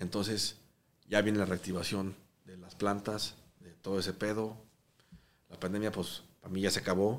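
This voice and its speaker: Long, frequent pauses and big swings in loudness mark a man's moderate-paced speech, delivered at a fairly low pitch in a monotone, flat intonation. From Mexico. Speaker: restaurateur. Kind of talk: casual chat.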